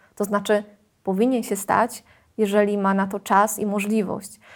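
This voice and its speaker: A woman with a plain, everyday voice at a fairly high pitch and fairly slow pace, in a very clean recording with a silent background. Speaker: secondary school Polish teacher. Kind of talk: interview.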